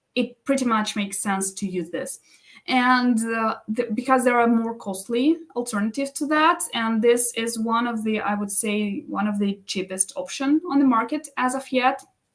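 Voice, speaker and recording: A woman speaks with a non-native accent at a moderate pace. Her pitch is high, with ordinary variation. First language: not English. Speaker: business coach and live stream host. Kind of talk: live stream tutorial. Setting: live stream. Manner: halting, many self-corrections.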